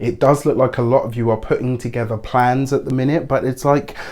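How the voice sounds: Talking at a fairly quick pace, a man uses a medium pitch, a slightly mellow tone and fairly even intonation.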